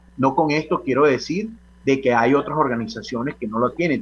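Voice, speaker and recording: Fairly quick, somewhat breathy speech from a man with a fairly high pitch. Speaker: professional association president. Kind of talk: radio interview.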